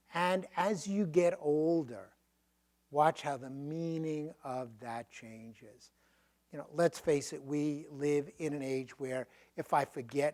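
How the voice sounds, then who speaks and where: His pitch runs fairly high. The man's delivery is fairly slow. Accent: strong Brooklyn. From Brooklyn, New York. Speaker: professor. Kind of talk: Q&A after a lecture.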